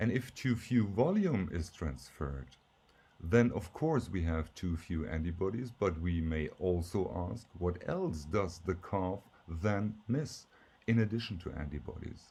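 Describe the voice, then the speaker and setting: With a German accent, a man speaks slowly in a very deep, low, dark and mellow voice that is somewhat breathy, with lively intonation. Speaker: professor. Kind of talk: lecture. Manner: slightly halting with fillers.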